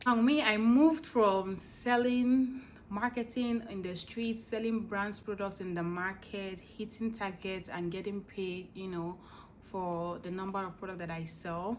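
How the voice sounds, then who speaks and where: Medium-pitched female voice at a fairly slow pace, with ordinary pitch variation, big swings in loudness and audible room echo. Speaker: vlogger. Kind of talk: casual chat.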